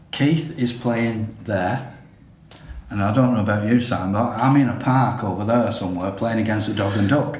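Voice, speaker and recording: Amid noticeable background noise and audible room echo, a man talks at a moderate pace and medium pitch with ordinary pitch variation. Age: 60s. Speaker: podcast co-host. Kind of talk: casual chat.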